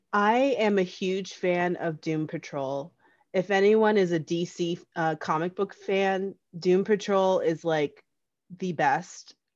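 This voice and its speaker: Against a quiet background, a woman with an American accent and a plain, everyday voice talks fairly slowly at a medium pitch with fairly even intonation. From New Jersey. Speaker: stunt performer and actor. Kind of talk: casual interview.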